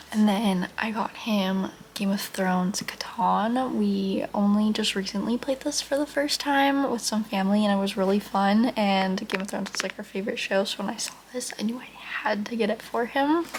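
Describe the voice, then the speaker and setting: Speech comes at a moderate pace with ordinary pitch variation. Noticeable background noise is present. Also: woman, fairly high pitch for a woman. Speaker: lifestyle vlogger. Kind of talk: casual vlog talk. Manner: casual, filler-heavy (like).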